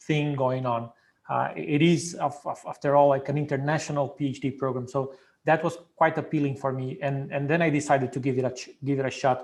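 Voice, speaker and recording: A man with a Portuguese accent speaks at a fairly quick pace. His pitch is fairly high and his intonation fairly even. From Brazil. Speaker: PhD program alumnus. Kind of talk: Q&A panel answer. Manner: hesitant, many fillers.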